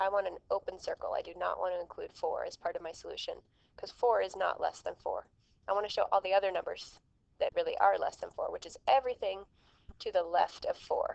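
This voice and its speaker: At a fairly quick pace, a woman's loudness swings widely in a dry, close recording with no echo. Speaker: math teacher. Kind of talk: tutorial. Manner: fast.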